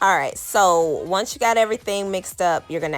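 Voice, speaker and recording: The speaker has a normal speaking voice, keeps a moderate pace and shows ordinary pitch variation. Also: woman. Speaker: lifestyle vlogger. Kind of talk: cooking tutorial. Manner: casual, many fillers.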